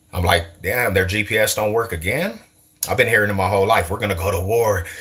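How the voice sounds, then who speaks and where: Fairly low male voice with an American accent, at a fairly quick pace. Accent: sounds Californian to viewers. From US West, East Side Denver. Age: 40s. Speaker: streamer. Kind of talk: casual chat. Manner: animated.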